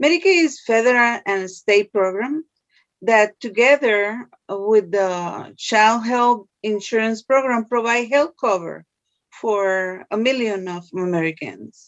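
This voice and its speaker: A woman speaks with a Spanish accent at a fairly high pitch. Her pace is very slow. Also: ordinary pitch variation. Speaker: social services case worker. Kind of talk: interview. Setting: video call.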